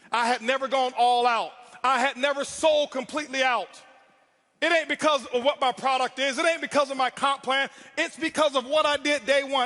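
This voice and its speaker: Raised and projected, a man's extremely high-pitched voice comes across bright, sharp and animated at a moderate pace. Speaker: network marketing speaker. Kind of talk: motivational speech. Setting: stage with audience. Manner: loud.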